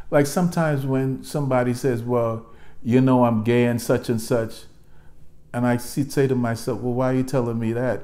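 This man talks at a moderate pace with a medium pitch and a slightly mellow tone.

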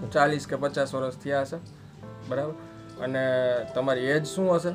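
A man's fairly high-pitched voice with clear music in the background. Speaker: food vlogger. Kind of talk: interview questions. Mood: respectful, gentle. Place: home room. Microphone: lapel.

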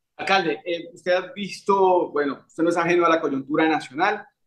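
A man with a fairly high pitch talks over a quiet background. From Colombia, Medellín. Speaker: YouTube interviewer. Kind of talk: interview. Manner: halting, many fillers. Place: home room. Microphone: webcam.

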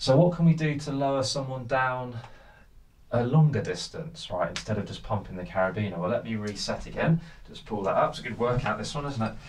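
With audible room echo, a man of medium pitch speaks at a fairly quick pace with lively intonation.

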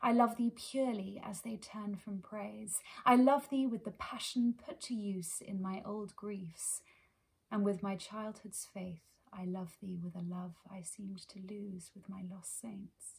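A somewhat breathy woman at a fairly slow pace, with ordinary pitch variation and big swings in loudness. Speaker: poetry reader. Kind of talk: poetry reading. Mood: tender, earnest. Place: home room.

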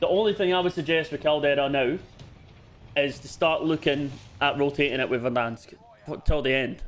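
A man with a Scottish accent, at a fairly quick pace. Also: fairly high pitch for a man, ordinary pitch variation. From Scotland. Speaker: gaming livestreamer. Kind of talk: casual chat while gaming. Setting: online voice chat on a livestream.

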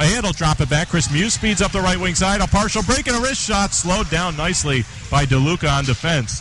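Against noticeable background noise, a man talks at a fairly quick pace in a high voice, with lively intonation, very even loudness and hardly any pauses. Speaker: hockey play-by-play announcer. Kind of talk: live sports commentary, play-by-play of a hockey game. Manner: fast, rapid-fire play-by-play, rising excitement on goals; animated, punching out 'He scores!' and 'They score!'.

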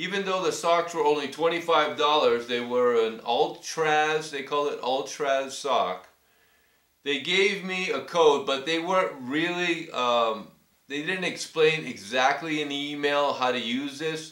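With audible room echo, a man speaks very slowly in a fairly high voice. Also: ordinary pitch variation, quiet background. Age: 60s. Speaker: cycling YouTuber reviewing gear; customer reviewing products. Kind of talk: casual product review vlog. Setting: filming himself on camera. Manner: hesitant, many fillers. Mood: pleased, appreciative. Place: home room. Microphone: webcam.

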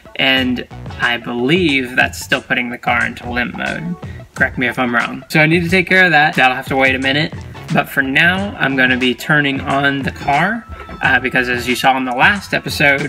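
With faint music in the background, the man keeps a moderate pace. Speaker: car project vlogger. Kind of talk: casual vlog chat. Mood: slightly puzzled, upbeat. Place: car. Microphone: phone near.

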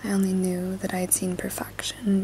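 A soft-spoken woman whispering at a moderate pace over light background noise. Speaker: booktuber, literature student. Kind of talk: ASMR book reading. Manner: whispered, soft-spoken. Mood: gentle, intimate.

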